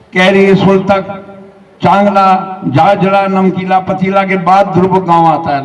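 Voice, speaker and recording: A man with a high-pitched voice talks against noticeable background noise. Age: 80s+. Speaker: army veteran and retired SDM. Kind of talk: public speech.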